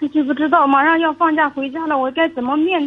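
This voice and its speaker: Fairly even intonation at a fairly quick pace. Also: woman. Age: 30s. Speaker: caller. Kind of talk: phone-in consultation. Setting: phone call. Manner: halting. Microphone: echo on the line.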